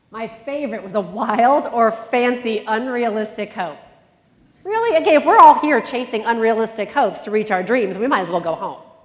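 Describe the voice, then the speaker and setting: Lively intonation marks a woman's fairly high voice, heard with audible room echo. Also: moderate pace. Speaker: conference speaker. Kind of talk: motivational talk. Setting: stage with audience. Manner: energetic.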